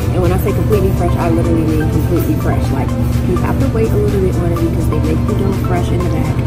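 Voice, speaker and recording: A woman's voice over loud music in the background. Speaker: food vlogger. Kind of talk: casual vlog chat. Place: cafe.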